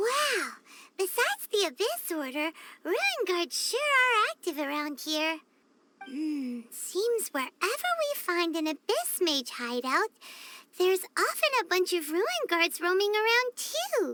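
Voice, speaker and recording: Delivered at a fairly slow pace, a put-on character voice sits at an extremely high pitch. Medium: video game. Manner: chatty, excitable.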